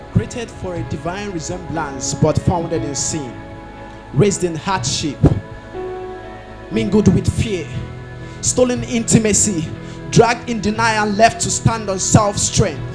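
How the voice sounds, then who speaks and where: Against music in the background, a woman with a fairly low pitch speaks at a fairly slow pace, with long, frequent pauses, very wide pitch swings and big swings in loudness. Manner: rhythmic, expressive, dramatic delivery.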